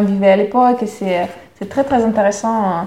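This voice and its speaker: With a Russian accent, a woman at a medium pitch speaks with ordinary pitch variation over noticeable background noise. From Russia, near Moscow. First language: Russian (speaking French). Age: 30s. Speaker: podcast guest, sales support employee. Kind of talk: interview. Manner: hesitant, many fillers.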